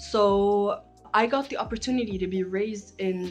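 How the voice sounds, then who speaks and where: A medium-pitched woman with fairly even intonation, music in the background. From international upbringing (Paris, Djibouti, US, Geneva, Rome), Egyptian family. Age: 20s. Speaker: psychology vlogger. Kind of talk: casual vlog introduction.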